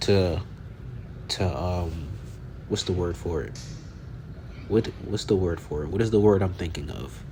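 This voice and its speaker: A man with a very deep, low pitch talks at a fairly slow pace with long, frequent pauses and ordinary pitch variation, and audible room echo can be heard. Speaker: fitness vlogger. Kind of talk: casual voiceover. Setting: voiceover over gym footage. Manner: halting.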